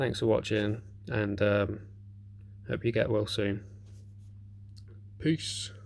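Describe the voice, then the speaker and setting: A man's fairly low, somewhat breathy voice at a very slow pace, with long, frequent pauses. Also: fairly even intonation. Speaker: knife collector YouTuber. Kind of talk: casual video response. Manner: hesitant, many ums.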